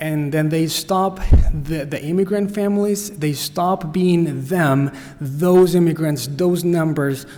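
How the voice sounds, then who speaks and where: There is audible room echo and noticeable background noise as a man talks at a fairly high pitch with ordinary pitch variation. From Costa Rica. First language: Spanish. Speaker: nonprofit director. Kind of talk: workshop talk. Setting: church. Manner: halting.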